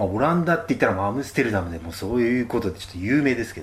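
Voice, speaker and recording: A man speaks with a somewhat breathy voice. His pitch swings very widely. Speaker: travel radio host. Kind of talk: solo travel talk. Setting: cheap guesthouse room.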